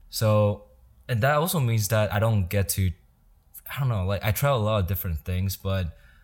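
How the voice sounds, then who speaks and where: On a very clean recording with a silent background, a man with a fairly low pitch speaks at a fairly quick pace. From Taiwan. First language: Mandarin Chinese. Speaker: podcaster and entrepreneur. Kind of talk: casual chat.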